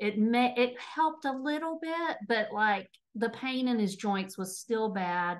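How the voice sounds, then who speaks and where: The speaker talks fairly slowly with a Texas accent and lively intonation. The background is quiet. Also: woman, fairly high pitch for a woman. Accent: Texas accent, noticeable. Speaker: nutrition and habit coach. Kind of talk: interview testimony.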